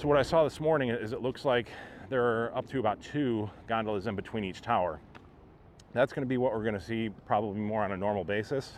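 A man talks at a very fast pace with ordinary pitch variation, in dry sound with no echo and light background noise. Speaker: theme park vlogger. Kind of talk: casual vlog commentary. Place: street. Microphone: phone near.

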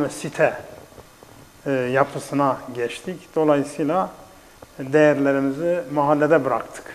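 The speech moves at a very slow pace, and the intonation stays fairly even. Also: man. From southeastern Turkey. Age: 70s. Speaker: retired teacher and author. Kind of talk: casual chat. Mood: calm, reminiscing. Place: studio.

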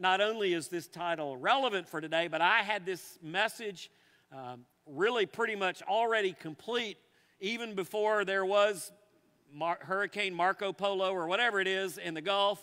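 The speaker uses a raised, projected voice with a bright, sharp tone and ordinary pitch variation. The pace is moderate, and the background is quiet. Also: man. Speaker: pastor. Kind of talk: sermon. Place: church.

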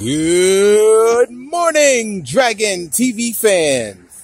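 The man's voice sounds dry, without any echo. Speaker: vlogger. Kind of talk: casual vlog chat. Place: street. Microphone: phone near.

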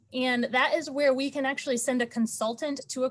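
A somewhat breathy woman with an American accent, at a fairly quick pace. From Texas (Dallas area). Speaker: state transportation program manager. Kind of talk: online committee meeting. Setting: video call.

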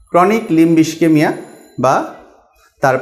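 This man has a normal speaking voice, a fairly high pitch and ordinary pitch variation. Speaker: vascular surgeon. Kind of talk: health advice talk.

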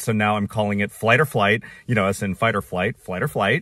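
A man is heard in a dry sound with no echo against a quiet background. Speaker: flight attendant vlogger. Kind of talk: casual vlog chat. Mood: frustrated but chatty. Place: car. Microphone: phone near.

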